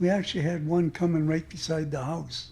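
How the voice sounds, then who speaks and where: This man's voice is fairly high in pitch with a dark, mellow tone. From Squamish Nation, North Vancouver, British Columbia, Canada. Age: 80s+. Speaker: residential school survivor, retired longshoreman. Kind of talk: interview, personal life story. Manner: reflective, with frequent fillers.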